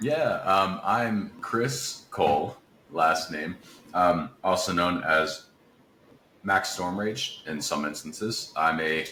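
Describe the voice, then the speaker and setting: A man with an American accent and a very deep, low pitch, at a very slow pace with ordinary pitch variation, amid noticeable background noise and audible room echo. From West Virginia, Appalachia. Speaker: voice actor and singer-songwriter. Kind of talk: interview conversation.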